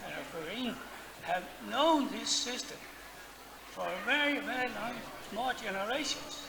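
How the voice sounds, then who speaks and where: A man speaks at a very slow pace with an extremely high pitch and lively intonation. The room echo is audible, and background noise is noticeable. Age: 70s. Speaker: audience member. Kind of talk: audience question. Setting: stage with audience. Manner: halting.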